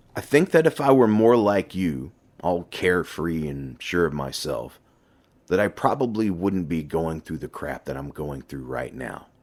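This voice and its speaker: A man's raspy, put-on character voice, very deep and low, with very wide pitch swings at a moderate pace, on a very clean recording with a silent background. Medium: read story.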